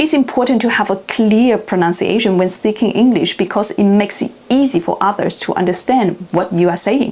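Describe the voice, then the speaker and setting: With a Chinese accent and lively intonation, a woman talks at medium pitch and a moderate pace over noticeable background noise. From China. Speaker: language learning youtuber. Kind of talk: tutorial.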